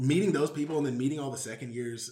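A man speaks at a very fast pace with an American accent. His voice is somewhat breathy, with ordinary pitch variation. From Houston, Texas. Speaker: MBA student. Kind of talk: casual interview. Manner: filler-heavy casual speech.

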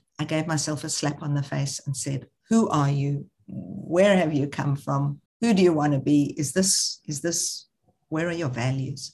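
A woman's very deep, low voice, somewhat breathy. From South Africa. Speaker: social entrepreneur, charity founder. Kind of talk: interview.

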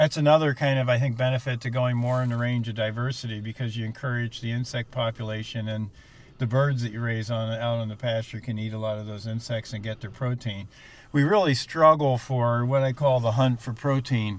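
A man with an American accent and medium pitch talks at a fairly quick pace, his intonation fairly even. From New Jersey. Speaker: farmer. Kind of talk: casual interview. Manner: hesitant, many fillers.

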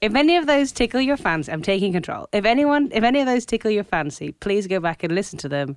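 A woman's voice with very wide pitch swings at a very fast pace, hardly any pauses, on a very clean recording with a silent background. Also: fairly high pitch for a woman. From Scotland. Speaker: podcast co-host. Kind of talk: casual chat.

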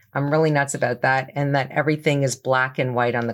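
A woman with a slight Canadian accent speaks at a very deep, low pitch. Her intonation is monotone and flat, on a very clean recording with a silent background. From Toronto, Canada. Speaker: business owner. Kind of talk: interview.

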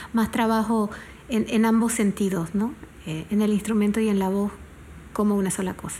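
A woman speaks in a monotone, flat intonation at a moderate pace with long, frequent pauses, her voice somewhat breathy with a dark, mellow tone, in a very clean recording with a silent background. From Panama. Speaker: singer-songwriter. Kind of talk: interview. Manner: halting.

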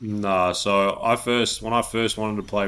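This man has an Australian accent and a fairly low pitch. The recording is very clean, with a silent background. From Australia, Melbourne. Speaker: professional basketball player. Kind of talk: casual interview.

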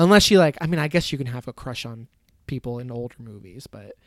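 In a normal speaking voice, a man with an American accent talks at a fairly quick pace and medium pitch with ordinary pitch variation, in a very clean recording with a silent background. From US Midwest, Michigan. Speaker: podcast host. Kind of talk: casual chat.

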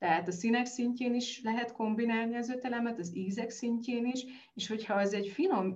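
A somewhat breathy voice at a moderate pace, with audible room echo. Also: woman. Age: 40s. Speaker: nutrition expert. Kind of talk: interview.

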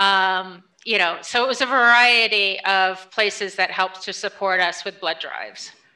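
In an American accent, a woman with a medium pitch and a bright, sharp tone talks at a moderate pace with fairly even intonation and hardly any pauses, recorded very cleanly against a silent background. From upstate New York. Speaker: nonprofit fundraising director. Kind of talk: interview conversation.

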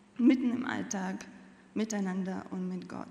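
The woman's fairly even intonation comes through with audible room echo. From Latvia. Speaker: church member. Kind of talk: testimony.

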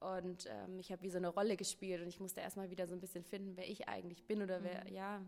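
This woman's voice sits at a medium pitch and moves at a very fast pace. Her intonation is monotone and flat. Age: 20s. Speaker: yoga teacher. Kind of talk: casual chat. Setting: sitting on a yoga mat in a pop-up store.

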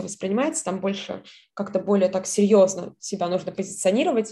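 The voice is somewhat breathy with a dark, mellow tone. It moves at a fairly quick pace with fairly even intonation. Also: woman. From southern Russia. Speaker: scholarship student. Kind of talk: interview.

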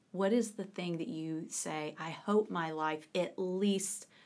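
This woman has an unremarkable speaking voice, fairly low in pitch, with ordinary pitch variation. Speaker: podcast host. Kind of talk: casual interview. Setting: Cheekwood gardens in Nashville.

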